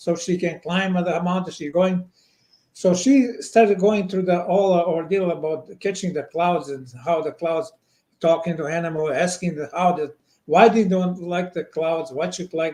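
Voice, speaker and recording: Here a man speaks in a Montenegrin accent. His voice is high-pitched, with ordinary pitch variation. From Montenegro. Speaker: children's book author. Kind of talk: interview answer.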